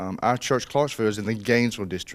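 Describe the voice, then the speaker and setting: Recorded very cleanly against a silent background, a man speaks at a medium pitch with a South Georgia accent. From South Georgia, US (Colquitt, Miller County). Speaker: pastor. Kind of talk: casual interview chat. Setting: church stage, video recording.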